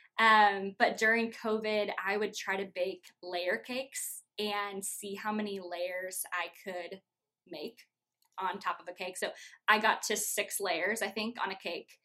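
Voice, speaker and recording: In an American accent, a woman speaks at a fairly slow pace with a medium pitch, a bright, sharp tone and monotone, flat intonation. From Iowa, US Midwest. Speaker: church youth ministry staff. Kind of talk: casual interview.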